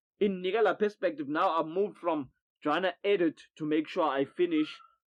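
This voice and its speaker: Loud and high-pitched, a man with a South African accent speaks at a moderate pace. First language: isiXhosa. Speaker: podcast host. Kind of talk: casual chat.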